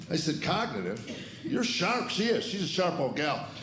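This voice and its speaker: Very fast speech with an American accent and very wide pitch swings, amid noticeable background noise and audible room echo. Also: man. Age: 60s. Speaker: comedian. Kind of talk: stand-up. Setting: stage with audience.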